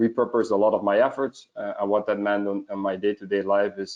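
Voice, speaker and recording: In a Dutch accent, a man speaks fairly quickly at a fairly low pitch. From Netherlands. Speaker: proptech investment network founder. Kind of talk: panel interview on video call. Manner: halting with many fillers.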